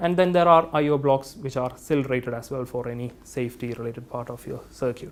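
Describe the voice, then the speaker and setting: A man with an Indian accent at a moderate pace, with ordinary pitch variation. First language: not English. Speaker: engineering product specialist. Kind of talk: technical presentation. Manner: hesitant, with fillers.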